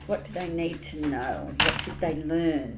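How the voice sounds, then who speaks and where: Over noticeable background noise and audible room echo, a woman with an Australian accent talks at a very slow pace. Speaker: tarot reader. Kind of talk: tarot reading. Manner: casual, chatty.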